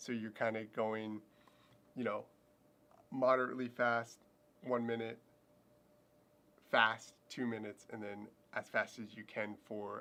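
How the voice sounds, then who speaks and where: A man speaks in monotone, flat intonation, with long, frequent pauses. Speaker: fitness and running vlogger. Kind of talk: livestream training recap. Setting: home livestream with camera. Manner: casual, filler-heavy.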